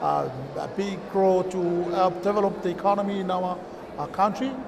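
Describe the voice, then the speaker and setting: A man with a Kiribati accent speaks at a high pitch and a fairly slow pace over noticeable background noise. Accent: Kiribati (Pacific Islander) English. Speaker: chamber of commerce representative; guest. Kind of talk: interview. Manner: halting. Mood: friendly, relaxed. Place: stage.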